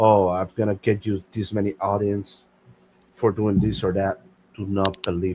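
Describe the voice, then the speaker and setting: Monotone, flat intonation marks a man's fairly low voice. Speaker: podcast host. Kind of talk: casual chat. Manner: halting.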